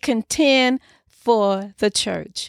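A woman speaks with ordinary pitch variation. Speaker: pastor and podcast host. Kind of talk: sermon. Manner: earnest, preaching.

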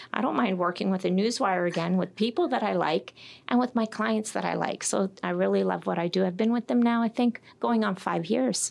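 In an ordinary speaking voice, a woman with a Canadian accent talks at a fairly quick pace with hardly any pauses. Her medium pitch has ordinary variation, and her loudness stays very even. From Toronto, Canada. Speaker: sales executive. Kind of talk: interview. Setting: studio.

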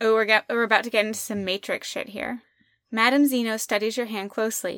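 Against a quiet background comes plain reading aloud with fairly even intonation.

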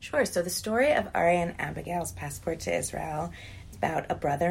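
Speaking at a moderate pace, this woman has an American accent. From Columbia, Maryland, US. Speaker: museum director and children's author. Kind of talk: interview. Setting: office.

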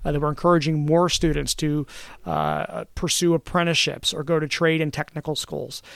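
On a very clean recording with a silent background, a man with an American accent talks at a fairly quick pace. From Southern Lancaster County, Pennsylvania. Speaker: state senator. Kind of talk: interview about tax policy. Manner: measured, with frequent fillers and repetitions.

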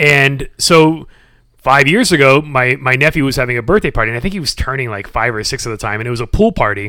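On a very clean recording with a silent background, a man talks very fast in a bright, sharp, animated tone with lively intonation. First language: sign language. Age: 40s. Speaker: gym member. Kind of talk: casual chat.

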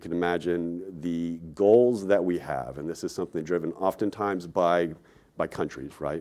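A man speaks at a very deep, low pitch in a dark, mellow tone, with ordinary pitch variation. He keeps a moderate pace in a very clean recording with a silent background. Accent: American. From Texas. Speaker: investment manager. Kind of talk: conference presentation.

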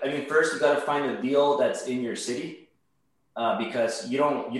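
Speech at a moderate pace with ordinary pitch variation comes through with audible room echo. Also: man. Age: 30s. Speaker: mortgage broker and real estate investor. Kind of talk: interview. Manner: halting, many repetitions and fillers.

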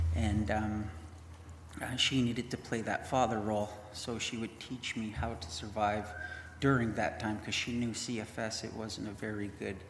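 A man with a fairly low pitch speaks at a moderate pace. Audible room echo and noticeable background noise surround him. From Winnipeg, Canada. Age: 30s. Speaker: mission program graduate. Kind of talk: testimony.

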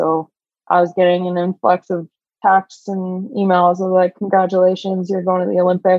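This woman has a medium pitch. She talks at a fairly quick pace. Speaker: Olympic rower. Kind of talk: casual interview chat.

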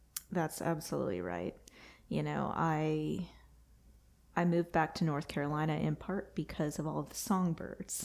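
On a very clean recording with a silent background, a woman with an American accent talks at a moderate pace. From Texas. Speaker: landscape architect. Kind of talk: interview.

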